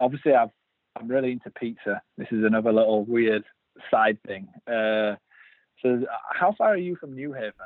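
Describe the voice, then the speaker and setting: A man with a Yorkshire accent speaks at a medium pitch and a moderate pace, with ordinary pitch variation. He leaves long, frequent pauses, and his loudness swings a lot. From Yorkshire, northern England. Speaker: brewer. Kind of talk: casual chat.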